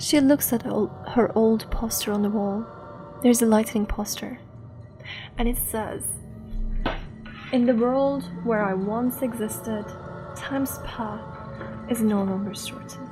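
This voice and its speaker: Over music in the background, a woman talks at a fairly slow pace with long, frequent pauses. Her pitch is fairly high and her intonation fairly even. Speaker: storyteller. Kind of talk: bedtime horror story narration. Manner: soft-spoken, ASMR-style.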